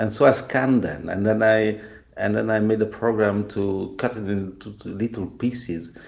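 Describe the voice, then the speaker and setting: Speaking with a non-native accent, a man talks at a fairly slow pace. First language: not English. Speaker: game creator. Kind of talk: interview. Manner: halting.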